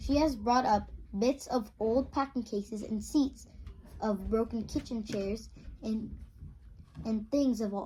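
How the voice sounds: At a slow pace, a woman speaks with a fairly high pitch and ordinary pitch variation. Her tone is slightly mellow, with a slightly husky edge.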